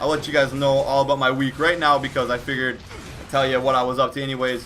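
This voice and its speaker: Noticeable background noise sits under a man speaking at a very fast pace. His fairly high voice holds a monotone, flat intonation. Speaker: YouTuber, toy review channel host. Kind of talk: casual vlog Q&A.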